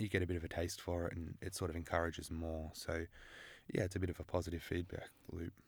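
The speaker has an Australian accent and a somewhat breathy voice. Delivery is very fast, with monotone, flat intonation. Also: man, very deep, low pitch for a man. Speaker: international relations student. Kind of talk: interview.

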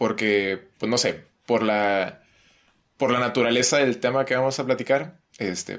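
A man talks at a fairly slow pace with a medium pitch. He has an unremarkable speaking voice with ordinary pitch variation. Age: 20s. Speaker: psychology student. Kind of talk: casual chat.

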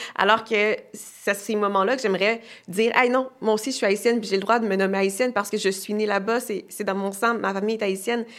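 In a monotone, flat intonation, the words come at a fairly quick speed. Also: woman, medium pitch for a woman. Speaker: actress and author. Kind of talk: casual chat.

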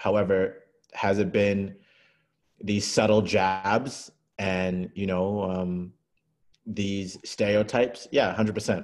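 Speaking at a very slow pace with long, frequent pauses, a man with a fairly low voice is heard in a very clean recording against a silent background. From Canada and Kuwait. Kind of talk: casual discussion. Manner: animated.

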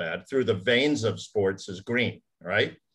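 At a moderate pace, a man speaks at a medium pitch in a normal speaking voice. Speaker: podcast co-host. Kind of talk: casual chat.

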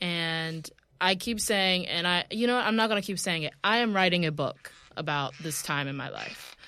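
A woman with an American accent, a fairly low pitch, a bright, sharp tone and a moderate pace. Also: ordinary pitch variation. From US South. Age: 20s. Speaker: model and journalist. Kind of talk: casual chat. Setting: studio.

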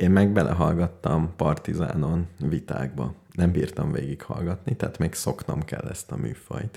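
Speaking at a fairly slow pace, a man with a very deep, low pitch shows ordinary pitch variation. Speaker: radio show co-host. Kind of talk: casual chat.

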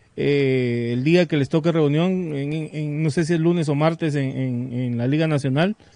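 Using a normal speaking voice, a man talks at a moderate pace with a fairly high pitch and fairly even intonation. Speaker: football pundit. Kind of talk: casual chat.

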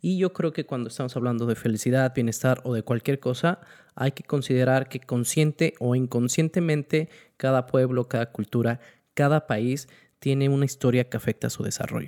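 A man's quiet, dark, mellow voice at medium pitch and moderate pace, with ordinary pitch variation, dry close sound without echo and a very clean recording against a silent background. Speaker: podcast co-host. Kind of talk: casual chat. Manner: quiet, level voice.

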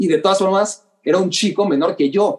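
The speaker talks at a fairly quick pace in a Mexican accent. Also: man. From Mexico City. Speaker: sports journalist. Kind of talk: interview. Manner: halting, repeats words.

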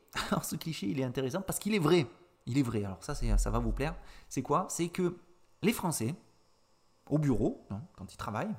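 A man with a fairly high pitch and vocal fry speaks at a fairly slow pace, his pitch swinging very widely. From southeastern France (Avignon). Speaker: French teacher, podcast host. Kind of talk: educational podcast monologue. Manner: hesitant, many fillers and repetitions.

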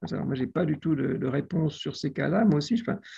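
With a dark, mellow tone and a somewhat breathy quality, a man speaks at a fairly high pitch against a quiet background. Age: 60s. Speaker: literature and media professor. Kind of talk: video call discussion.

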